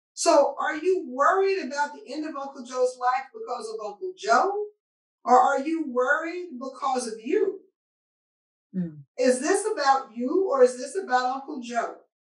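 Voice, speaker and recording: A woman speaks at a high pitch and a fairly slow pace, her loudness swinging widely. Audible room echo surrounds her against a quiet background. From Arkansas (Searcy); Arkansas. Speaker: physician; panelist. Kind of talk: panel discussion. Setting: video call. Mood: calm, earnest. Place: office.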